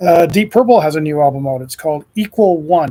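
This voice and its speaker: This man's voice has a dark, mellow tone and is somewhat breathy. He talks at a moderate pace. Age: 60s. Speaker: radio host. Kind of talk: casual show preview ramble. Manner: halting, many fillers.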